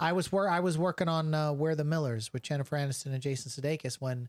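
Captured dry and close with no echo on a very clean recording with a silent background, an ordinary speaking voice moves at a fairly quick pace with ordinary pitch variation. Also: man. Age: 40s. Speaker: podcast host, film industry worker. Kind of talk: casual chat.

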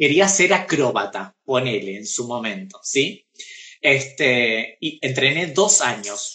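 In a normal speaking voice, a man talks with lively intonation. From Argentina, Pergamino. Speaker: actress and drag performer. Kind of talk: casual interview. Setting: Instagram live video.

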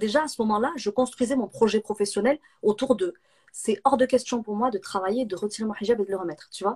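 The speaker talks at a very fast pace in a somewhat breathy voice with ordinary pitch variation, recorded dry and close with no echo. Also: woman. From southern France (Nîmes). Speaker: entrepreneur and business coach. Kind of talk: interview on a live video stream.

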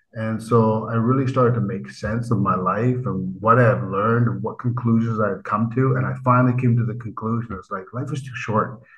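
A man with a Canadian accent talks at a fairly quick pace with hardly any pauses, against noticeable background noise. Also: medium pitch for a man. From Vancouver, Canada. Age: 50s. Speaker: writer and motivational speaker. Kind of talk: interview conversation. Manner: animated.

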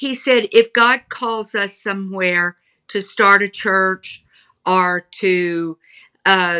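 A woman with a Texan accent, medium in pitch with ordinary pitch variation and a bright, sharp tone, at a very slow pace, dry and close with no echo on a very clean recording with a silent background. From Texas, Houston. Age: 70. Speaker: author, pastor's daughter. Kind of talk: interview, personal storytelling.

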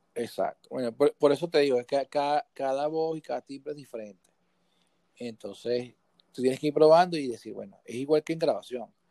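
With a dark, mellow tone and a fairly high pitch, a man speaks at a fairly quick pace, his loudness swinging widely and his pitch varying in an ordinary way, in a dry, close sound with no echo. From Venezuela, Guatire (near Caracas). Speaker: sound engineer and music producer. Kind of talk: casual interview chat, technical advice. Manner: halting, frequent repetitions.

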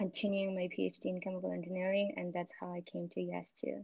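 A woman speaks at a fairly quick pace with a Xinjiang accent. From northwestern China (Uyghur region). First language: Uyghur. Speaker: scientist. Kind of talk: casual interview.

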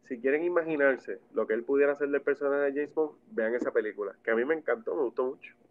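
Barely pausing, a man talks at a very fast pace in a fairly high voice with ordinary pitch variation. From Puerto Rico. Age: 30s. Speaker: film enthusiast and former music manager. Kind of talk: casual chat. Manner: animated.

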